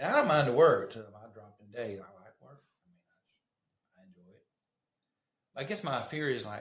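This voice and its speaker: In a north Georgia accent, a man speaks at a fairly high pitch, somewhat breathy, with lively intonation, big swings in loudness, long, frequent pauses and audible room echo. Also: moderate pace. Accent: Southern US (north Georgia). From US South, northwest Georgia. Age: 60s. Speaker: cycling park founder. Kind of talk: podcast interview. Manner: halting.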